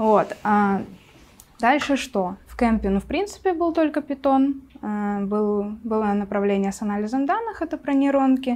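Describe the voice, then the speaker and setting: Delivered at a fairly slow pace, the voice has lively intonation, big swings in loudness, and long, frequent pauses. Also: woman, high pitch for a woman. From Siberia, Russia. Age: 20s. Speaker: Python developer and mentor; guest. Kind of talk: casual chat. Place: studio. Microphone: lapel.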